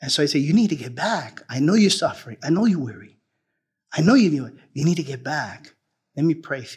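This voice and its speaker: A man speaks in a somewhat breathy voice. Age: 50s. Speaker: pastor. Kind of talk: sermon.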